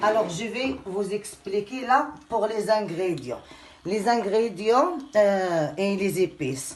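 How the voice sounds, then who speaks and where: With noticeable background noise and audible room echo, a woman at medium pitch speaks at a very slow pace. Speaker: home cooking youtuber. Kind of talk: cooking tutorial. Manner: loud; heavy audible breathing, asthmatic.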